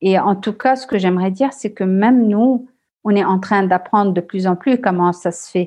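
A woman speaks at a moderate pace with a medium pitch and a dark, mellow tone. Her pitch varies in an ordinary way over a quiet background. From Lebanon. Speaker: social entrepreneur, CEO. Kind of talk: interview. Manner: halting, repeats words.

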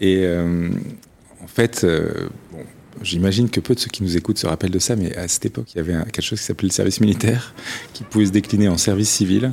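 A man's very deep, low voice at a very fast pace, with ordinary pitch variation and long, frequent pauses. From southern France. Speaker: entrepreneur and investor. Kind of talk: interview. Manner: halting, many hesitations.

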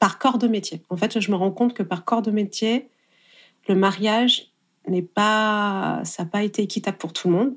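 A woman with an unremarkable speaking voice talks at a fairly slow pace and medium pitch, her intonation fairly even. The recording is very clean, with a silent background. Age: 30s. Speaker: wedding photographer. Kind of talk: interview.

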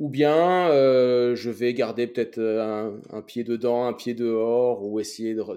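Speaking very slowly, a man with a dark, mellow tone keeps a medium pitch and fairly even intonation. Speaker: podcast host and career coach. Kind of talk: interview conversation. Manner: halting with many fillers.

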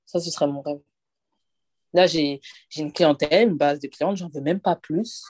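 A woman's fairly low voice at a moderate pace, with ordinary pitch variation, big swings in loudness, long, frequent pauses, and a dry, close sound with no echo. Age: 20s. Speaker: hairdresser and salon owner. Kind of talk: interview. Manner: casual.

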